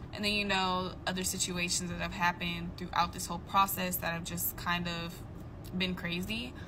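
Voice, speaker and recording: A woman's fairly low voice at a moderate pace, with noticeable background noise. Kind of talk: casual vlog chat. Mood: frustrated but calm. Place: car. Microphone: phone near.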